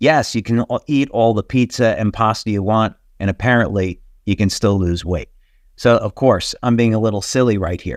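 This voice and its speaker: With a dry, close sound and no echo, a man speaks in a plain, everyday voice at a medium pitch and moderate pace, using ordinary pitch variation. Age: 60s. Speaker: company webinar presenter. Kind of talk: webinar presentation. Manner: casual, with many fillers.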